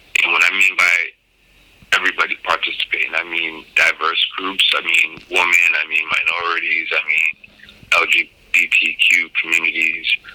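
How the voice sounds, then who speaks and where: With noticeable background noise behind, a speaker with an American accent keeps a moderate pace and very even loudness. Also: man. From US Northeast, Cambridge/Boston area. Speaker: podcast host, cannabis entrepreneur. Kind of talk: monologue interview answers. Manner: frequent fillers, um and you know.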